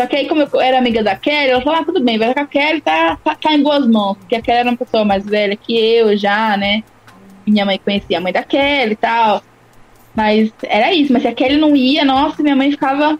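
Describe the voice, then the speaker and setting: Her high voice rises and falls with lively intonation at a fairly quick pace. The woman's loudness stays very even. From interior of São Paulo state, São Carlos. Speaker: rapper. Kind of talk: casual interview.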